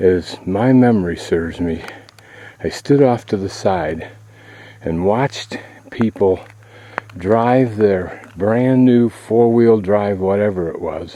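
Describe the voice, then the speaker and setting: A very slow pace with long, frequent pauses, over noticeable background noise. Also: man, fairly low pitch for a man, ordinary pitch variation. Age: 60s. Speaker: travel vlogger. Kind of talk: video narration. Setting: outdoors. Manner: casual.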